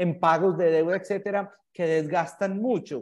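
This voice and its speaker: With a Paisa Colombian accent, a man with a dark, mellow tone and a high pitch speaks at a fairly slow pace against a quiet background. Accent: Colombian paisa Spanish (voseo). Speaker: startup founder. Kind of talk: casual chat.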